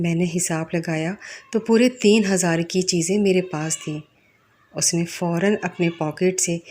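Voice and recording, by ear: Her voice fairly low and slightly mellow, a woman speaks at a fairly slow pace with fairly even intonation.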